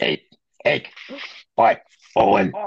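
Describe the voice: This is a put-on character voice. It is gruff and low in pitch.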